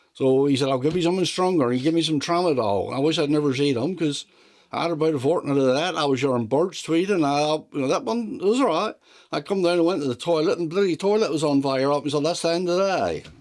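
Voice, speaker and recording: A man with a West Country accent at fairly high pitch and very fast pace, with ordinary pitch variation and very even loudness. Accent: broad West Country. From South West England. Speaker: retired farm mechanic. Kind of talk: interview answer.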